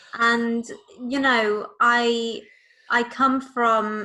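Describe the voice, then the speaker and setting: Speaking with a Liverpool accent, a woman delivers her words in a flat monotone with a bright, sharp tone. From Liverpool, England. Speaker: political party leader, activist. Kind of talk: casual interview.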